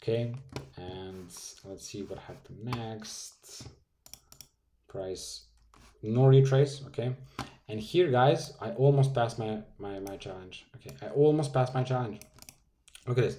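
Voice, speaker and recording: A man with a Serbian accent, medium pitch, lively intonation and a moderate pace. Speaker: forex trading youtuber. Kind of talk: trading tutorial. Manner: animated.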